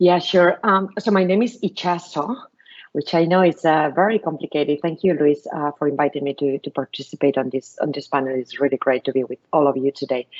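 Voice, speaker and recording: A fairly quick, Spanish-accented voice with ordinary pitch variation, dry and close with no echo. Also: woman, very deep, low pitch for a woman. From Spain. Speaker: venture capitalist. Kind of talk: panel talk to school pupils.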